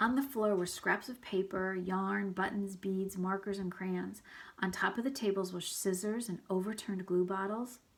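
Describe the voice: Someone is doing plain reading aloud. Their intonation stays fairly even.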